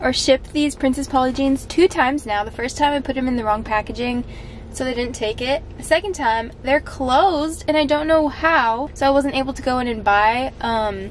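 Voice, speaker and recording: A woman speaks in a high voice with ordinary pitch variation and a moderate pace. The sound is dry with no echo, and there is light background noise. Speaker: vlogger. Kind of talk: casual vlog chat. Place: car. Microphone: phone near.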